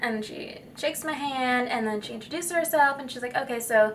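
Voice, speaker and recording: A woman's voice, with ordinary pitch variation, comes through with audible room echo. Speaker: vlogger. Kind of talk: casual vlog storytelling. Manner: strained projection; chatty, filler-heavy.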